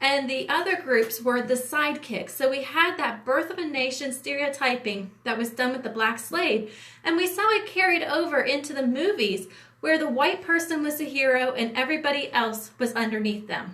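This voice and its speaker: A woman's raised, projected voice, high-pitched with an American accent, lively intonation and audible room echo. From US Appalachia. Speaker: entertainment industry producer. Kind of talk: livestream talk. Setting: livestream. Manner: fast; hesitant with fillers.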